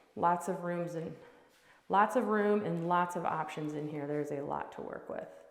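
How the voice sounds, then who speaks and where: Audible room echo and noticeable background noise around a moderately paced voice with ordinary pitch variation. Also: woman, fairly low pitch for a woman. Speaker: real estate agent. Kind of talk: home tour walkthrough. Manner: animated.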